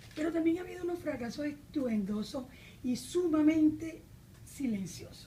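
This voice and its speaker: A woman with a high pitch, a dark, mellow tone and a Venezuelan accent talks at a moderate pace with lively intonation, and room echo is audible. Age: 60s. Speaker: journalist and independent candidate. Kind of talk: political debate. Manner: animated.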